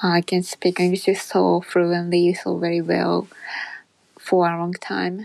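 A woman speaks very slowly. The background is quiet. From Japan. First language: Japanese. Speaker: English learner podcaster. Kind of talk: solo monologue. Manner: halting.

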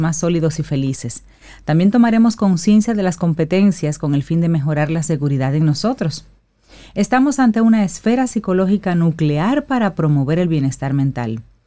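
A woman talks at a fairly quick pace with lively intonation, her pitch fairly low and her tone dark and mellow. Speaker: radio co-host. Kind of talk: morning radio show.

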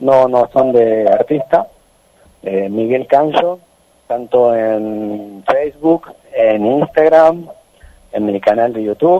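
A man talks at a medium pitch, very slowly, and his pitch varies in an ordinary way. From Santiago del Estero, Argentina. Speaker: folk musician. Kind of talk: radio interview.

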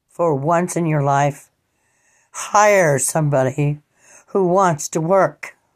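Very slowly, a woman speaks with long, frequent pauses and a very deep, low pitch. Her pitch variation is ordinary, in a very clean recording with a silent background. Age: 60s. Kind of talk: personal monologue.

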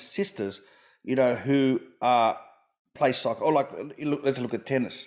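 Fairly quick speech from a man with an Australian accent and a fairly high pitch, on a very clean recording with a silent background. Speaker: comedian podcast host. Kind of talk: interview.

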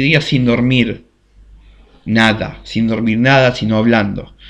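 A man speaks with a Rioplatense accent. His pace is fairly slow. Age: 20s. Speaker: podcast host. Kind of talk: casual storytelling monologue. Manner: halting.

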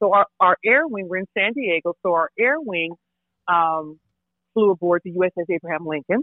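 In a plain, everyday voice, a woman with an American accent speaks at a moderate pace. Her pitch is medium, with ordinary pitch variation. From Lancaster, California. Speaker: retired navy master chief. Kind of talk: interview.

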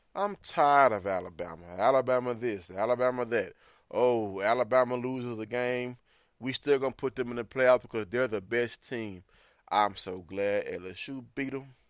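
A man with a Southern US accent talks at a medium pitch on a very clean recording with a silent background. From Mississippi. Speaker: sports podcaster. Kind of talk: sports recap podcast. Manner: animated.

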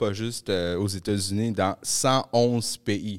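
This clip features a man talking. It is a very clean recording with a silent background. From Montreal, Quebec (grew up in Pointe-aux-Trembles, from Peru). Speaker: podcast host. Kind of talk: casual chat.

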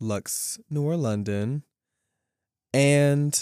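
A man's dark, mellow tone with ordinary pitch variation comes through a dry, close sound with no echo in a very clean recording with a silent background. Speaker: podcast co-host, performer. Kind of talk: casual chat. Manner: animated.

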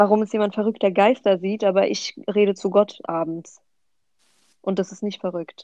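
A woman with a dark, mellow tone speaks at a medium pitch with fairly even intonation, the sound dry and close with no echo. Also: moderate pace. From Hesse, Germany (Offenbach). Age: 20s. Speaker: sociology student. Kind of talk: casual chat.

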